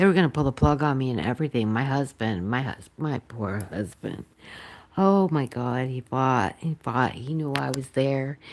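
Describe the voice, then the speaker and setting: The speaker is soft-spoken, with an American accent. The intonation is lively. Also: woman, very deep, low pitch for a woman, moderate pace. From Massachusetts, near Boston. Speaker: pet channel host, former nurse. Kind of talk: casual chat. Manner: halting, many fillers.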